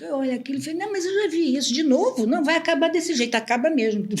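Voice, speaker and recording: A high-voiced woman speaks at a very fast pace with lively intonation and hardly any pauses. Noticeable background noise can be heard. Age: 70s. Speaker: astrologer. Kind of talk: casual chat. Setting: studio.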